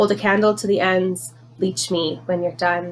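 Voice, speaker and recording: A woman at a medium pitch, an unremarkable speaking voice with lively intonation at a fairly slow pace. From Canada. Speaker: poet. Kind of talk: poetry reading.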